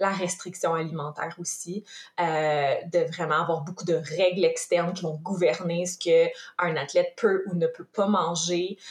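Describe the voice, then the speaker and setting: A woman talks at a fairly slow pace with a fairly low pitch. Her delivery is somewhat breathy and monotone, with flat intonation. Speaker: nutritionist and former elite athlete. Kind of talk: interview.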